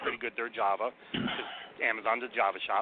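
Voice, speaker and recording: A man at a very fast pace. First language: Portuguese. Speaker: recruiting sourcer. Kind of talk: radio interview. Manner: animated.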